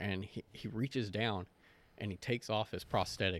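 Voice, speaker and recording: This man has a plain, everyday voice with an American accent, pitched fairly low and moving at a fairly quick pace with ordinary pitch variation. The recording is very clean, with a silent background. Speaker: veteran. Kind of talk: casual chat.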